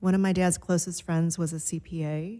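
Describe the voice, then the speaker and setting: A woman's fairly low, dark, mellow voice in a Chicago accent, with monotone, flat intonation at a moderate pace, on a very clean recording with a silent background. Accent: Chicago American English. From Chicago, US Midwest. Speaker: marketing and business development principal. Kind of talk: podcast interview.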